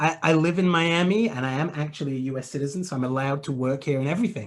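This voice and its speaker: Pitched fairly high with ordinary pitch variation, a man talks at a very fast pace. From England. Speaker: web marketing expert. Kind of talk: webinar Q&A.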